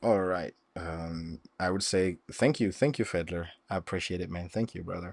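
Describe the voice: With vocal fry and a slightly mellow tone, a man speaks at a moderate pace in a low pitch with ordinary pitch variation.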